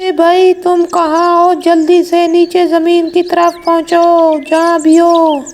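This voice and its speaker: In a cartoonish character voice, the speaker goes at a fairly slow pace with monotone, flat intonation and hardly any pauses. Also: female-sounding voice, extremely high pitch for a woman. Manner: earnest.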